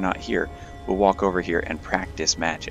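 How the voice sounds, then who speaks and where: A very deep, low-pitched man at a moderate pace, with music in the background. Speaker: gamer. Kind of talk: gameplay commentary. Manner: casual.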